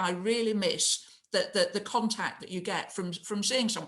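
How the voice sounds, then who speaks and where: This woman speaks with a northern English accent. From northern England. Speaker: mayor. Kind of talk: casual interview chat.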